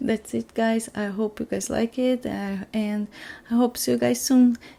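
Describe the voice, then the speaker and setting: A woman with a non-native accent speaks at a fairly slow pace, her fairly high voice carrying a dark, mellow tone. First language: not English. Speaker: scrapbooking crafter. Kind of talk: crafting process voiceover. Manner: halting, with fillers.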